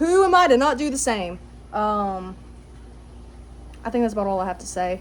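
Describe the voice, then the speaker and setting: A woman with fairly high pitch speaks at a moderate pace, with big swings in loudness. Long, frequent pauses stand out against audible room echo. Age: 20s. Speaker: vlogger. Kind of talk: casual monologue. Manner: halting, many fillers.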